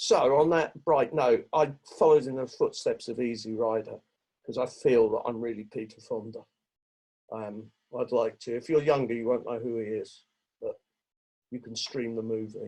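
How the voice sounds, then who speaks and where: With long, frequent pauses and big swings in loudness, a man speaks at a moderate pace in a dark, mellow tone, his medium pitch showing ordinary variation. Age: 60s. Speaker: recovering addict sharing at a meeting. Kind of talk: recovery testimony.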